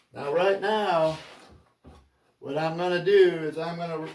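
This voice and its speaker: A man speaks with a high pitch at a moderate pace. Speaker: woodworker. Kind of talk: tutorial.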